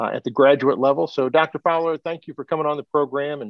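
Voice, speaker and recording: Fairly high-pitched and quick, a man talks in a normal speaking voice. His intonation stays fairly even. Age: 50s. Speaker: podcast host. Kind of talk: interview conversation. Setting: video call.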